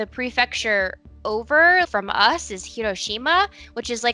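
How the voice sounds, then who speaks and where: Faint music plays in the background as a woman speaks, the sound dry with no echo. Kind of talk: casual interview chat. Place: home room. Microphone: headset.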